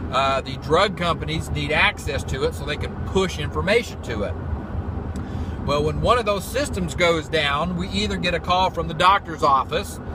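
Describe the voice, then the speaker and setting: This man, with an American accent, keeps to a moderate pace while noticeable background noise plays behind him. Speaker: field IT technician and vlogger. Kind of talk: casual vlog. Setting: in a car driving; doctor's waiting room. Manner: quiet, hushed.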